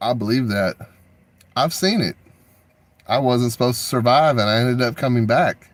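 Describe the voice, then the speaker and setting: The speaker is a man with a Texan accent. He sits at medium pitch with ordinary pitch variation. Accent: Texan American. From Texas. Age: 40s. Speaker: video artist and livestreamer. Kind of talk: casual livestream monologue.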